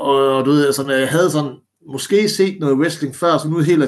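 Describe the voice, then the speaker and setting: A man speaks with ordinary pitch variation. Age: 30s. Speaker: former pro wrestler. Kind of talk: casual interview. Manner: halting, many fillers and repetitions.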